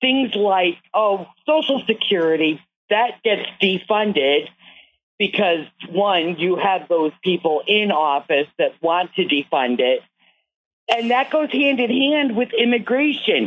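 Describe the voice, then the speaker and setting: At a very slow pace, a woman with a medium-pitched voice makes very wide pitch swings while keeping her loudness very even. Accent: American. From United States. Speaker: caller. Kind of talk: call-in comment. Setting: phone call.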